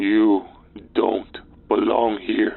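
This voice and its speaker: A growling man's voice, a put-on character voice. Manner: menacing.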